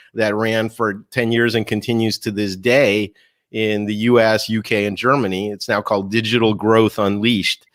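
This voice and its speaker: A man with an unremarkable speaking voice, medium pitch and fairly quick pace, on a very clean recording with a silent background. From Russia (Moscow), moved to US at eight. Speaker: keynote speaker and marketing author. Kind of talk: interview.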